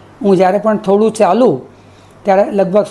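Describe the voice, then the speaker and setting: Noticeable background noise sits behind a man's voice. He speaks with a high pitch and fairly even intonation. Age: 70s. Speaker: patient. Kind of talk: testimony. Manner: halting.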